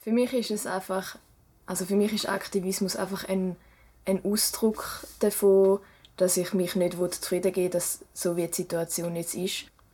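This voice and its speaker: A woman's medium-pitched voice with a dark, mellow tone, monotone, flat intonation and a moderate pace, on a very clean recording with a silent background. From German-speaking Switzerland, rural village. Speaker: student and cycling activist. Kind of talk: interview.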